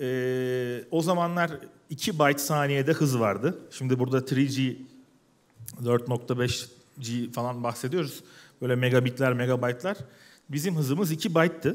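His speech comes very slowly. This man shows ordinary pitch variation. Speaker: tech company founder. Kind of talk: panel talk. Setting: stage with audience. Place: hall. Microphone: headset.

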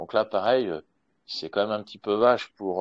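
A man with a normal speaking voice talks at a fairly quick pace, his fairly low pitch held in fairly even intonation. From France. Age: 40s. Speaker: expat public relations worker. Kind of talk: live Q&A in online audio room.

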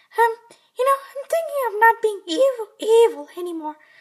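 An extremely high pitch defines this put-on character voice. Its delivery is fairly slow.

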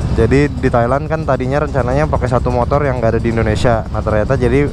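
The speech comes at a very fast pace, with music in the background. The sound is dry, with no echo. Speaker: motovlogger. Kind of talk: casual vlog chat. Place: motorbike. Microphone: helmet.

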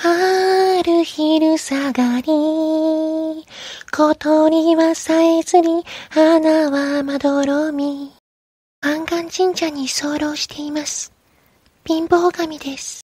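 Someone puts on a character voice pitched high. The delivery is very slow.

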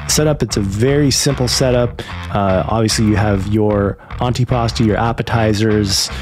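With music in the background, a man speaks in a fairly low pitch with ordinary pitch variation. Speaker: food reviewer. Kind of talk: review commentary. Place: home room. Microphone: studio mic.

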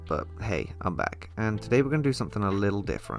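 Over music in the background, a man talks at a very fast pace with a very deep, low pitch and very wide pitch swings. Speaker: PC restoration hobbyist. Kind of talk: voice-over narration of a tutorial. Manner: casual.

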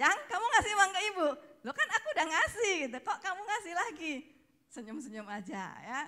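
Against a quiet background, a woman projects a raised voice with a bright, sharp tone, an extremely high pitch and very wide pitch swings at a fairly quick pace. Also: big swings in loudness. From Indonesia. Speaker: speaker's wife, co-presenter; speaker, presenter. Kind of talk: testimony. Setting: stage with audience. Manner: casual, laughing. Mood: cheerful, laughing often. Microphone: handheld.

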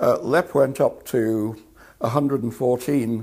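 The man's voice is somewhat breathy, and the background is quiet. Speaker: interviewee. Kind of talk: interview answer. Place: home room.

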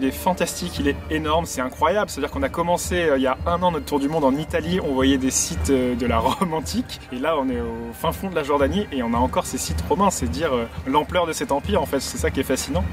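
A man speaks at a very fast pace with hardly any pauses. The sound is dry with no echo, and clear music plays in the background. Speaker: travel vlogger. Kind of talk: casual vlog chat. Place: open country.

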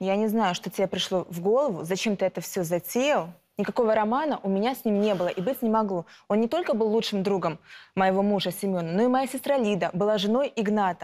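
A woman rushes along at a very fast pace, her medium pitch moving with ordinary variation. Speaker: defendant. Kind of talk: courtroom testimony. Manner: heated, confrontational. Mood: defensive, emotional. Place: studio. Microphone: lapel.

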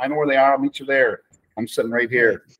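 Speaking very fast, a man talks with an American accent. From Chicago. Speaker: football coach and restaurant owner; football coach. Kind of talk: casual chat. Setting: video call. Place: kitchen. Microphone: webcam.

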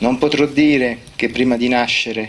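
A man talks with normal rises and falls in pitch, keeping a moderate tempo against faint background noise. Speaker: poet. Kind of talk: poetry reading. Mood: calm, measured, reflective. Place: open country.

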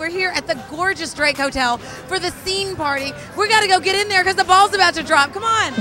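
A woman with an extremely high pitch speaks in a raised, projected voice at a fairly quick pace with an upbeat tone, in a dry sound with no echo and clear music in the background. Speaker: TV host. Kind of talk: TV host presenting. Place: bar. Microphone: handheld.

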